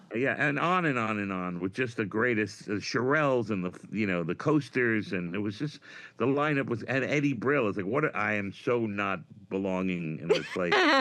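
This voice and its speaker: Against a quiet background, a man speaks in a New York accent. His fairly low voice has an animated, bright, sharp tone. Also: lively intonation, moderate pace. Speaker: comedian. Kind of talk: casual chat.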